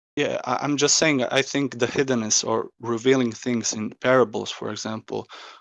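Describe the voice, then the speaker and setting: A man speaks with a non-native accent in a flat, monotone delivery, barely pausing at all. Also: medium pitch for a man, moderate pace. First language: not English. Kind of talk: heated debate. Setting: voice chat server. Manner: halting, hesitant.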